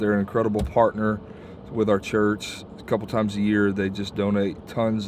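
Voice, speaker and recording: Here is a normal speaking voice from a man at fairly low pitch and moderate pace. The sound is dry with no echo, with light background noise. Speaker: church leader vlogger. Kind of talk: casual vlog chat. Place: car.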